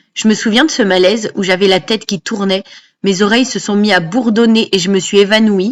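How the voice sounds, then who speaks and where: A woman's ordinary speaking voice, medium in pitch, at a fairly quick pace with fairly even intonation. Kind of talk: personal voice-over narration.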